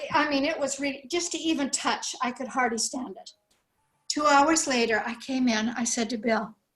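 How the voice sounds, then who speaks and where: With music in the background, a woman talks at a high pitch and moderate pace, with ordinary pitch variation and big swings in loudness. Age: 70s. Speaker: product testimonial giver. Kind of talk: testimony. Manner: animated.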